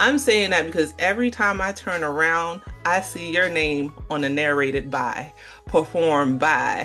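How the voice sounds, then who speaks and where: A woman speaks at a moderate pace with a very deep, low pitch and lively intonation, music playing behind her. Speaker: podcast host and author. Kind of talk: podcast host interviewing a guest. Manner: warm, friendly, chatty.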